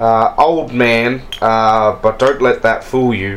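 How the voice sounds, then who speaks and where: A man talks at a medium pitch. Noticeable background noise is present. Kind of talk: tabletop RPG game master narration, describing scenes and voicing characters. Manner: descriptive, storytelling, casual with hesitations and filler.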